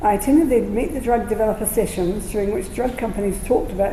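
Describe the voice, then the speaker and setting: With a New Zealand accent, a woman speaks at a medium pitch, with audible room echo and noticeable background noise. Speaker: patient speaker with lived experience, registered nurse. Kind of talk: prepared talk read aloud. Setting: community centre presentation with audience. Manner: slightly slurred speech.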